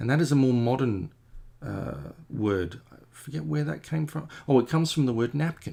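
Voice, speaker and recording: A man's dark, mellow voice with very wide pitch swings. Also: moderate pace. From Australia. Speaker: comic artist. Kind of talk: casual chat while painting on a livestream. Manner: rambling, hesitant with many fillers. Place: home room.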